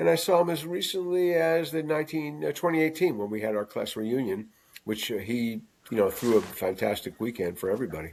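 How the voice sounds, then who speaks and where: A man with an American accent talks at a fairly quick pace, his pitch swinging very widely. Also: medium pitch for a man. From Long Island, New York. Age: 70s. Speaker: TV producer and writer. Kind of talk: interview conversation. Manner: hesitant, many fillers.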